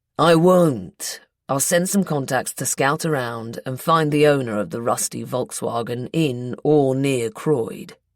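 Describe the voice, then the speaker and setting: A put-on character voice at a low-to-middle pitch and fairly slow pace with hardly any pauses, on a very clean recording with a silent background. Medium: read story. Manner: cool, unruffled.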